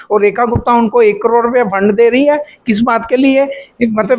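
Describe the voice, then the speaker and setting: A man speaks at a moderate pace in an extremely high pitch. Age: 60s. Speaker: relative of abuse victim. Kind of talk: street interview. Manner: agitated.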